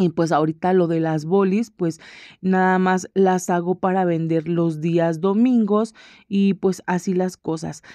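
A woman's medium-pitched, dark and mellow voice at a fairly slow pace with fairly even intonation, dry with no echo over a quiet background. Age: 30s. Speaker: home vlogger. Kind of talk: casual vlog chat. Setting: at home.

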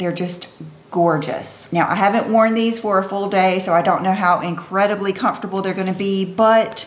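The woman's intonation stays fairly even as she talks. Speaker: fashion vlogger. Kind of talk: casual vlog chat. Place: home room.

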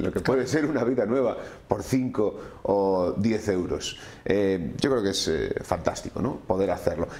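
With a dark, mellow tone, a man speaks at a fairly slow pace. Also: ordinary pitch variation. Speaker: magazine host. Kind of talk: TV magazine presenting and interviewing. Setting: studio. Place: studio.

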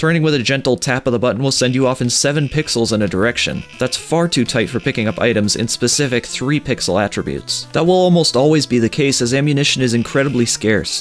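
A man speaks very fast at medium pitch, with hardly any pauses and ordinary pitch variation. His loudness is very even, and music plays in the background. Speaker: game reviewer. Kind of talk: game review voiceover. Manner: sardonic, casual.

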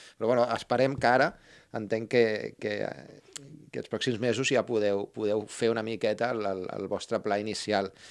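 A man speaks at a moderate pace with fairly even intonation. He leaves long, frequent pauses against a quiet background. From Barcelona. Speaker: podcast host. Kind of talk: interview. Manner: halting. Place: studio. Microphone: studio mic.

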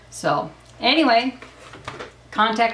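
There is audible room echo and light background noise as a woman speaks with ordinary pitch variation. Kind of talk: casual vlog chat. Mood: upbeat, enthusiastic. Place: home room. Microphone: camera far.

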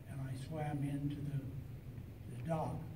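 A man goes at a fairly slow pace while noticeable background noise carries on. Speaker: film actor and underwater stunt performer. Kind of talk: convention panel interview answer. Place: hall.

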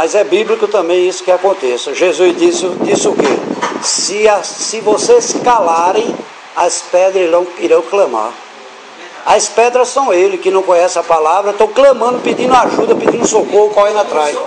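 Noticeable background noise surrounds a man talking at a moderate pace. His voice is high, with ordinary pitch variation. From Brazil, Recife (Pernambuco). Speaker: evangelical church preacher or youth group leader. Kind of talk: informal sermon to church group. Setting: church meeting with audience. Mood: earnest, exhorting. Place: home room. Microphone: camera far.

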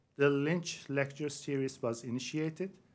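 The speaker is a man talking at a fairly slow pace. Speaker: host introducing a lecturer. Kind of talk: formal introduction speech. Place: hall.

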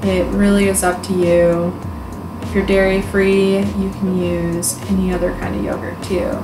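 A woman speaks at a moderate pace. Music plays in the background. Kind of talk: tutorial. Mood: upbeat and playful. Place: home room.

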